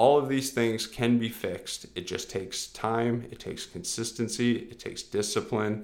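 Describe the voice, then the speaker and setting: A man speaks at a moderate pace in a normal speaking voice, his pitch medium. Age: 30s. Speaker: fitness coach podcast host. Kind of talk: solo podcast monologue. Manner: casual, filler-heavy.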